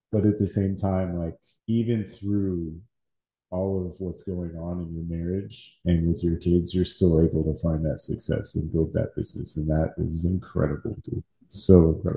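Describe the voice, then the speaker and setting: A man with an American accent and a very deep, low pitch, somewhat breathy with a dark, mellow tone, at a moderate pace with fairly even intonation over a quiet background. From Texas. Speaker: podcast co-host. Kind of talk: casual chat.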